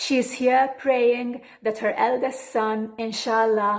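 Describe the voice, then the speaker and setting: Here a woman speaks with a Maltese accent. Her pace is fairly slow. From Malta. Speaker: poet. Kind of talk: poetry reading.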